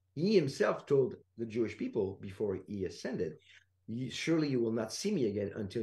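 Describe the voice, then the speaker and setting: A man's medium-pitched, dark and mellow voice, somewhat breathy, at a very fast pace with lively intonation. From France. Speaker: Bible teacher. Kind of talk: interview about theology.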